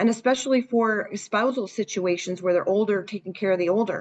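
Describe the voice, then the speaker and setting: Speaking at a fairly quick pace, a woman has a Canadian accent and a fairly high pitch. Her pitch variation is ordinary, and she has an unremarkable speaking voice. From Canada, Hamilton, Ontario. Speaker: senior care marketing consultant. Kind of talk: webinar Q&A.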